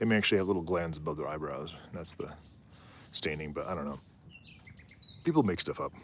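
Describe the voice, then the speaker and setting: A man speaks at a very fast pace with a very deep, low pitch, ordinary pitch variation, and long, frequent pauses. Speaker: wildlife livestreamer. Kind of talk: casual live stream commentary. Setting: outdoors on a rooftop. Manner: animated, conversational.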